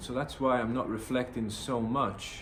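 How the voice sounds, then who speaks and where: There is audible room echo around the man's voice. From northern England, Middlesbrough. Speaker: vlogger. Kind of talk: personal vlog monologue. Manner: hesitant, many fillers.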